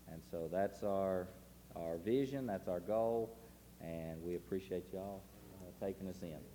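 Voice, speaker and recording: With a Tennessee accent, a man speaks in a very deep, low pitch and a dark, mellow tone, using ordinary pitch variation. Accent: Southern US (Tennessee). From Tennessee, US South. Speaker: missionary. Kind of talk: testimony to a congregation. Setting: church service. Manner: casual, folksy, with frequent uh fillers.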